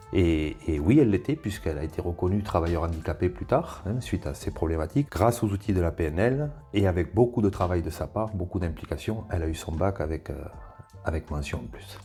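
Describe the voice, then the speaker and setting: Very deep, low male voice with music in the background. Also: lively intonation, fairly quick pace. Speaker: former vocational teacher, trainer and school coach. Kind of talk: interview answer.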